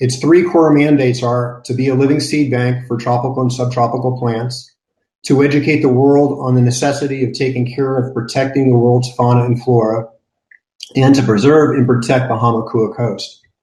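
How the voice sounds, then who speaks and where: The man's voice sits at medium pitch, flat and monotone. His tone is dark and mellow, and somewhat breathy. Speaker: nonprofit garden director. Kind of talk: conference panel presentation. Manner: fast.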